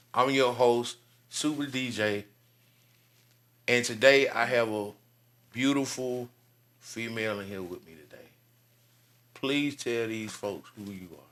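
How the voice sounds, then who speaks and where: Talking at a fairly slow pace with long, frequent pauses, a man with an Alabama accent keeps a medium pitch and fairly even intonation while his loudness swings widely. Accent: Southern US (Alabama). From US South, Birmingham, Alabama. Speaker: podcast host. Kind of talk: casual interview.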